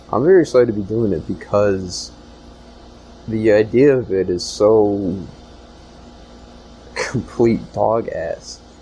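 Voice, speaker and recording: Very slow speech from a man, with noticeable background noise behind it. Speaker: podcast host and department store worker. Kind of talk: solo podcast monologue. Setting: store back room. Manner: hesitant, many fillers.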